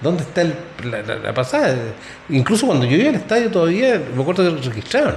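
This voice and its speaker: Over noticeable background noise and audible room echo, a man with a Chilean accent speaks at a very fast pace and a high pitch with very wide pitch swings. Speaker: sports podcast host. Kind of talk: casual chat.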